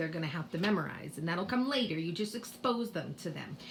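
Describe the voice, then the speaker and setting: Talking at a very fast pace, a woman has a Boston accent. Her intonation is lively, and noticeable background noise is present. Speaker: kindergarten teacher. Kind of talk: tutorial. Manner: casual, with many fillers.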